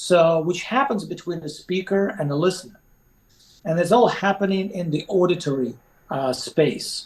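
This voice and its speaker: A man with a non-native accent and a high pitch, at a moderate pace with ordinary pitch variation. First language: not English. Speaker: resilience coach. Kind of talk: podcast interview. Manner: halting, many fillers.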